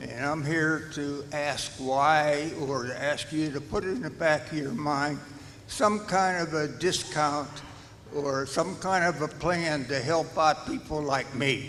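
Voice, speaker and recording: A man with a fairly high pitch and fairly even intonation speaks at a very slow pace, with audible room echo and noticeable background noise. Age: 90s. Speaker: retired senior resident, public commenter. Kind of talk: public comment at board meeting.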